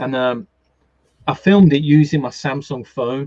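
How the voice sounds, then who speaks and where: At a moderate pace, a man with a fairly high pitch speaks in a strong Brummie accent. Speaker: gaming YouTuber and streamer. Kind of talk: casual chat. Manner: halting, many repeated words.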